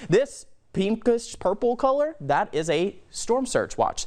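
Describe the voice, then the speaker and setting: A man with an American accent, his pitch swinging very widely, against a quiet background. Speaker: TV meteorologist. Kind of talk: TV weather forecast delivery. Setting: in-studio weather segment, answering anchor.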